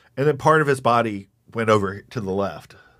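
On a very clean recording with a silent background, a man talks at a medium pitch and moderate pace. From East Texas. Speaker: war veteran and comedian. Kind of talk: casual chat.

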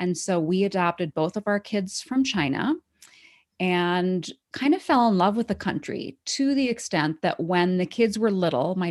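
An ordinary speaking voice with an American accent and lively intonation comes at a moderate pace over a very clean recording with a silent background. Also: woman. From Wisconsin. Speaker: author. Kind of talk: interview.

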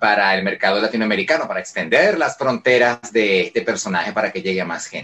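A man's very fast speech with hardly any pauses. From Venezuela, Caracas. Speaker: voice actor. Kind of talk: interview. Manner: calm, friendly.

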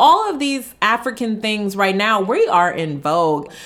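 A speaker with an American accent. Noticeable background noise sits under the voice. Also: woman. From US Midwest, Detroit. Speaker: travel entrepreneur. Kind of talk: interview.

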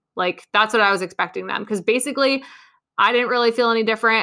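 Here is a woman with an unremarkable speaking voice. Her pitch sits fairly high, with ordinary variation. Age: 20s. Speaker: podcast host, dietitian and personal trainer. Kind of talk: casual solo podcast monologue. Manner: chatty with frequent fillers and laughs.

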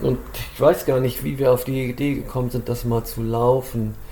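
Noticeable noise sits in the background. The man's delivery moves at a moderate speed. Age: 50s. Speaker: trail runner and race organizer. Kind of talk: casual chat.

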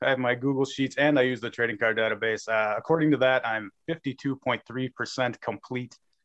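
Medium pitch, ordinary pitch variation and a moderate pace from a man with a normal speaking voice. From Minnesota, near Minneapolis. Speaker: trading card collector. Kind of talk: casual interview.

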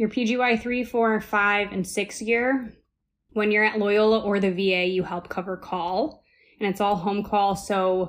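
A woman's normal speaking voice with an American accent, medium in pitch, fairly slow and fairly even in intonation, on a very clean recording with a silent background. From Ohio, US Midwest. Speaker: surgical resident. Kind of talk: interview.

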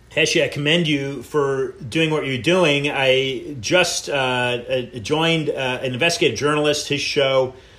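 An unremarkable speaking voice from a man, fairly high in pitch, fairly slow, with fairly even intonation. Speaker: radio host. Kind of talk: interview, casual talk show.

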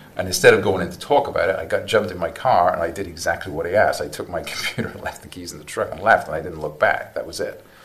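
A man races along at a very fast pace with hardly any pauses and big swings in loudness. Background noise is noticeable. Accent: American. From South Wales. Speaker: guest, cancer patient, former repo man. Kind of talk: casual interview conversation.

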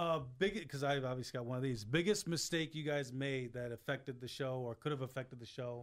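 A man with a plain, everyday voice talks at a fairly quick pace with ordinary pitch variation and hardly any pauses. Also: medium pitch for a man. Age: 30s. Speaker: radio producer. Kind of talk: casual chat.

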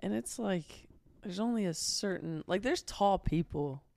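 A woman speaks in a normal speaking voice with an American accent and lively intonation. The sound is dry and close, with no echo. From southern Ohio, US. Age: 20s. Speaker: social media influencer. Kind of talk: casual chat.

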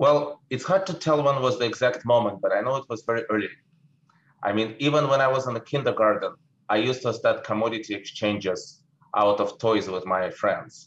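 A somewhat breathy voice in a Russian accent at a fairly quick pace, with ordinary pitch variation. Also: man, medium pitch for a man. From Russia, St. Petersburg. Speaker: investment manager. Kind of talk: interview.

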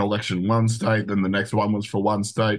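A man talks with an Australian accent over a quiet background. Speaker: show producer and co-host. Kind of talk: casual chat.

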